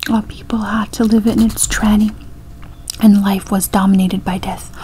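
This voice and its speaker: A soft-spoken woman whispers in a somewhat breathy voice. Light background noise can be heard. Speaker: reader. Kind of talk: reading devotional text aloud. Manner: soft-spoken whisper, slow and hushed. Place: home room. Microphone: webcam.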